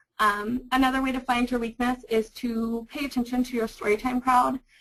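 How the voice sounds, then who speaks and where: Her pitch fairly high, a woman talks at a moderate pace. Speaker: librarian. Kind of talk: webinar presentation. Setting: webinar. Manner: loud.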